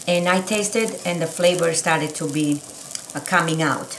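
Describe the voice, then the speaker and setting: Audible room echo and light background noise frame the recording. A woman speaks with fairly even intonation. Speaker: home cook host. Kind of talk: cooking tutorial. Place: kitchen. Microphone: camera far.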